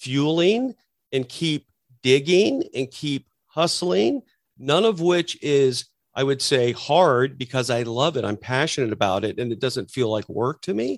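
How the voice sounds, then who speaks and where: A man speaks at a medium pitch and a fairly slow pace, in an ordinary speaking voice. His intonation is lively, and the sound is dry and close with no echo. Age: 50s. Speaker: entrepreneur and army veteran. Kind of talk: interview.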